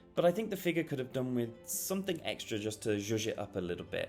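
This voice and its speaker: Music plays in the background as a man speaks. He talks at a fairly quick pace with lively intonation. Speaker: toy reviewer. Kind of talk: product review narration.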